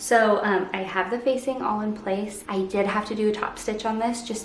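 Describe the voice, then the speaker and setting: Soft-spoken and fairly high-pitched, a woman talks in a monotone, flat intonation amid audible room echo and noticeable background noise. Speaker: sewing vlogger. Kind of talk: casual vlog tutorial. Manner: soft-spoken, talking quietly.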